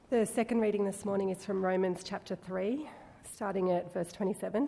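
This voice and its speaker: The woman has an ordinary speaking voice with a medium pitch. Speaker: scripture reader. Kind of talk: reading aloud. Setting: church.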